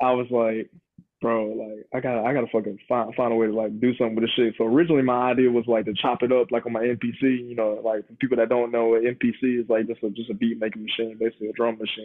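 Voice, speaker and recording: A man with an American accent at medium pitch, very fast pace and monotone, flat intonation. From US South. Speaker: rapper. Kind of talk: interview. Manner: halting.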